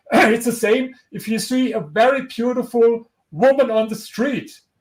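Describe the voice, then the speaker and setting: A man's extremely high-pitched voice in a strong German accent. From Germany. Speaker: historian and author. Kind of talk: interview. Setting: livestream video interview. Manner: halting, with repetitions.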